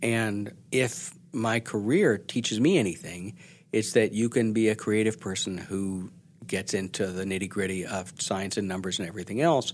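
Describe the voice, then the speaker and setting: In a very clean recording with a silent background, a man speaks at a moderate pace, his fairly low pitch moving with ordinary variation in an unremarkable speaking voice. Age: 60s. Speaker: journalist and author. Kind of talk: interview.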